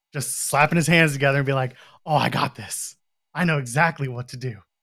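A plain, everyday voice with a Canadian accent moves at a fairly quick pace with fairly even intonation. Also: man, big swings in loudness. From Canada. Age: 40s. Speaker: wrestling podcaster. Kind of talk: casual chat.

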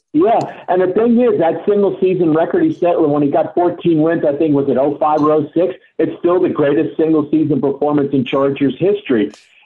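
It is an unremarkable speaking voice. The man talks at a moderate pace and a fairly high pitch, with ordinary pitch variation. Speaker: sports historian and author. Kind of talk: radio interview about coaches.

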